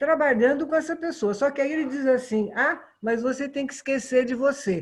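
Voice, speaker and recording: A woman's high voice swings very widely in pitch while she holds a moderate pace. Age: 70s. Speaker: tai chi student. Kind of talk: group discussion.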